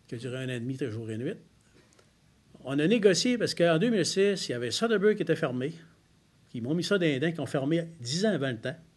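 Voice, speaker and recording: Amid audible room echo, a man with a fairly high pitch talks very fast with very wide pitch swings and long, frequent pauses. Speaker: member of parliament. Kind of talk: press conference Q&A. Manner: direct, plain-spoken.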